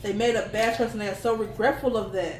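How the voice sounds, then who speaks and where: A woman talks at a fairly quick pace and fairly high pitch in an animated tone. Noticeable background noise and audible room echo surround her. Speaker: tarot reader. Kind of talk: tarot reading to camera. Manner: fast.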